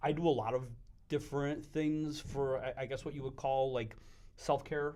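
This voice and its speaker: At a moderate pace, a man speaks in a monotone, flat way, fairly high in pitch with a dark, mellow tone. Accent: American. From Western New York (Buffalo / Wyoming County). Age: 40s. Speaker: business owner. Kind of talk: casual chat.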